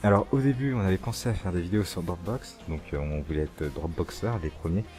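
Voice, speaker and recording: This man's voice is somewhat breathy, and his pitch swings very widely. He talks at a fairly quick pace. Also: hardly any pauses. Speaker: youtuber. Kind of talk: casual Q&A chat.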